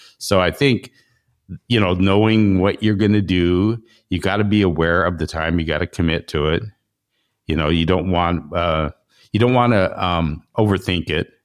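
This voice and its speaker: Very deep, low male voice at a moderate pace, ordinary pitch variation, quiet background. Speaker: podcast host. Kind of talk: casual interview chat.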